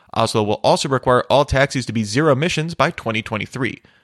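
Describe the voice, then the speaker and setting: Very fast male speech at a medium pitch, lively in intonation, with a dry, close sound and no echo. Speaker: tech news host. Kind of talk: formal newsreading, steady scripted delivery of headlines. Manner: formal; brisk, even-paced, matter-of-fact.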